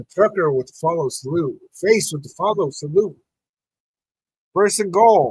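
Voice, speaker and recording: Recorded with a dry, close sound and no echo, a high-pitched man talks at a moderate pace with lively intonation, big swings in loudness, and long, frequent pauses. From New Mexico. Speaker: sports podcast host. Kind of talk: live watch-party commentary. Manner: casual, animated.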